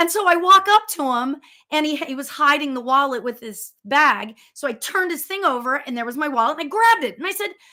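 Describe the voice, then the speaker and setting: In a raised, projected voice, a woman speaks at a fairly quick pace, her pitch high with very wide swings. Her tone is animated, bright and sharp. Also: big swings in loudness. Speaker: spiritual medium. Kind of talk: casual storytelling on live show.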